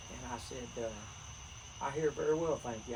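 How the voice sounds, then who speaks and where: The speaker has a western North Carolina accent. Noticeable background noise and audible room echo fill the recording. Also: man. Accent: Southern US (western North Carolina). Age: 70s. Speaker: retired teacher and army veteran. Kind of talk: casual chat.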